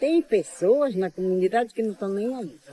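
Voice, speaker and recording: There is noticeable background noise behind this woman. Her pitch swings very widely. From Brazil, Pará (Alter do Chão, Amazon region). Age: 80s+. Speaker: traditional prayer leader. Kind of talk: interview. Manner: halting, many repetitions and fillers.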